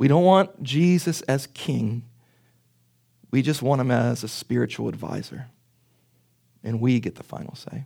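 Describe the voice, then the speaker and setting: A medium-pitched man's voice with an American accent, a dark, mellow tone, lively intonation, big swings in loudness, a fairly slow pace, and long, frequent pauses, on a very clean recording with a silent background. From Pittsburgh, US. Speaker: pastor. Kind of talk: sermon. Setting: church with congregation.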